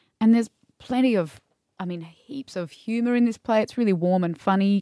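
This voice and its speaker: A woman talks at a moderate pace in an ordinary speaking voice with ordinary pitch variation. The sound is dry and close, with no echo. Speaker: podcast co-host.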